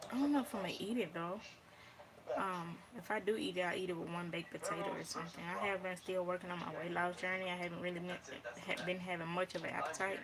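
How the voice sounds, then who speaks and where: Over noticeable background noise, a woman at a medium pitch talks at a very fast pace with fairly even intonation. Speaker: vlogger. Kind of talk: casual vlog monologue.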